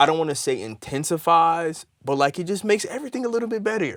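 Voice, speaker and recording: Talking at a very fast pace, a man with a high pitch comes through a very clean recording with a silent background. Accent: American. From Michigan, near Detroit. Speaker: musician. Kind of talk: casual chat.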